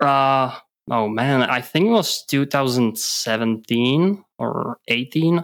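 In a Czech accent, a man speaks very slowly at medium pitch with ordinary pitch variation and very even loudness, in a very clean recording with a silent background. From Czech Republic. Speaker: podcast co-host, data analytics consultant. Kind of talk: casual chat. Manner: hesitant, many filler words.

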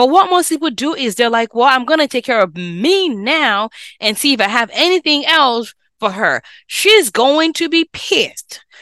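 A woman's high, bright, sharp voice is raised and projected, animated in tone, with very wide pitch swings at a moderate pace. The recording is very clean and dry, close with no echo and a silent background. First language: not English. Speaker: physician and personal finance podcast host. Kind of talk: solo podcast talk, coaching.

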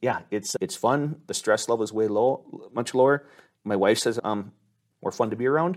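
A man speaks with a normal speaking voice at a medium pitch and moderate pace. His pitch varies in an ordinary way over a very clean recording with a silent background. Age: 50s. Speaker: insurance agency owner. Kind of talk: interview. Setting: on location.

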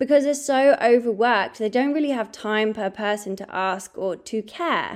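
Fairly high in pitch, the woman talks with an English accent. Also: ordinary pitch variation, moderate pace. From England. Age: 30s. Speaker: podcast host, holistic health coach. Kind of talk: solo podcast monologue, personal story.

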